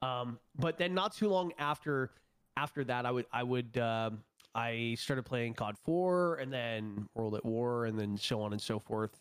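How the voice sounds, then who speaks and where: In an ordinary speaking voice, a man talks at a fairly slow pace and medium pitch with ordinary pitch variation, on a very clean recording with a silent background. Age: 20s. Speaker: streamer and esports player. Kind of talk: casual chat.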